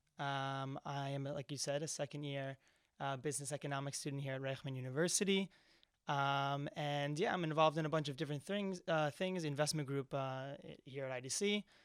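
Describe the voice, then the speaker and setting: In a New Jersey accent, a man with a fairly high pitch speaks at a fairly quick pace with fairly even intonation. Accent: American English (New Jersey). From US East Coast, New Jersey. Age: 20s. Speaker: university student. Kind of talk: podcast interview. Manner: hesitant, many fillers.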